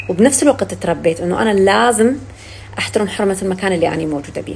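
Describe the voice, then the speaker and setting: Noticeable background noise sits under a woman speaking fairly quickly at a medium pitch with lively intonation. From Syria. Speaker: actress. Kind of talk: casual chat.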